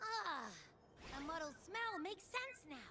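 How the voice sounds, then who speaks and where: A put-on character voice speaks with a bubbly tone at a high pitch and moderate pace. Its pitch swings very widely, and clear background noise is present. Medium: video game. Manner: bubbly, casual.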